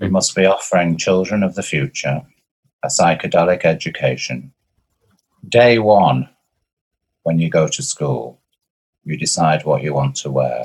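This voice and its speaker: Vocal fry runs through this man's very deep, low voice. He keeps a moderate pace, with long, frequent pauses. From northern England, Blackpool. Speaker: performance artist. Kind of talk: casual chat. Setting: video call.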